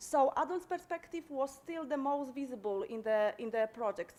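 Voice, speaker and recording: This woman has a high-pitched voice. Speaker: conference presenter, project researcher. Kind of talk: conference presentation. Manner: halting, many fillers.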